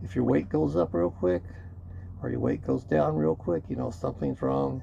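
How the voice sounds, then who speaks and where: At a moderate pace, a man with a dark, mellow tone and vocal fry swings his pitch very widely. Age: 60s. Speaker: YouTuber. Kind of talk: vlog monologue. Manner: casual, conversational with fillers.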